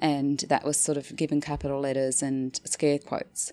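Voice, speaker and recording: A woman speaks at a fairly quick pace with an Australian accent, her pitch very deep and low. Her tone is dark and mellow, and the recording is very clean with a silent background. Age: 50s. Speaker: anthropologist, associate professor. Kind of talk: interview conversation.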